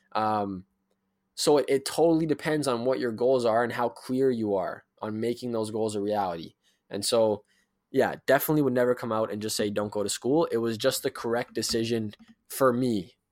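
A man with an unremarkable speaking voice, medium pitch and ordinary pitch variation, at a moderate pace, in a very clean recording with a silent background. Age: 20s. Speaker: professional youth speaker. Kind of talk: casual interview conversation.

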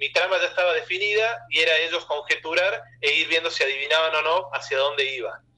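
A man talks at a moderate pace in a high pitch, with ordinary pitch variation. Noticeable background noise runs under his voice. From Argentina, Córdoba province. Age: 20s. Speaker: comic artist. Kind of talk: interview.

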